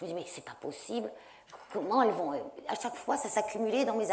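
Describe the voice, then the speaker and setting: The speech moves at a fairly quick pace. Audible room echo surrounds the voice. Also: woman. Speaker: science journalist and author. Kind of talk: panel debate talk. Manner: fast.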